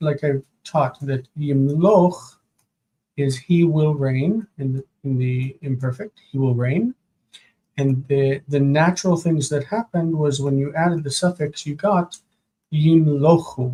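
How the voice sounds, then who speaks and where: A man speaks at a fairly slow pace with long, frequent pauses, his somewhat breathy voice showing ordinary pitch variation in a dry, close recording with no echo. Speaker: Hebrew grammar teacher. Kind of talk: live-stream lesson, homework review. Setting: live stream with chat. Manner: soft-spoken, quiet.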